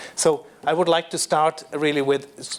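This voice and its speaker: Against noticeable background noise, a man with a German accent speaks at a fairly slow pace. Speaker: panel moderator. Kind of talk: panel introduction. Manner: halting, many fillers.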